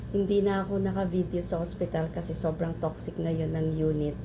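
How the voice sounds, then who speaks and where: Here a woman speaks at a fairly slow pace. Audible echo fills the room. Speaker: hospital worker, friend giving birthday greeting. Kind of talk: recorded birthday message.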